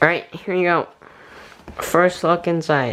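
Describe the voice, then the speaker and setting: Speech moves at a moderate pace. Noticeable background noise runs underneath. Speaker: gaming YouTuber. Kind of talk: casual talk to camera, unboxing. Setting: recorded on a tablet, poor audio.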